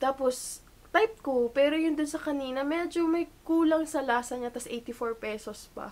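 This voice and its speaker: High-pitched woman's voice over noticeable background noise. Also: ordinary pitch variation, moderate pace. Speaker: vlogger. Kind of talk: casual vlog talk to camera. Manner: chatty, informal.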